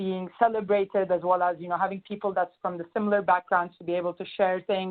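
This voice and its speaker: The speaker talks at a fairly quick pace with monotone, flat intonation in a Turkish accent. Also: woman. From Turkey, Istanbul. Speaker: management consultant. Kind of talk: webinar introduction. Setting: conference call.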